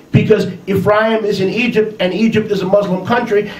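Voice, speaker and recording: A man speaks at a moderate pace with fairly even intonation and a high pitch. Room echo is audible. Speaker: religious teacher. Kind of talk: sermon. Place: home room.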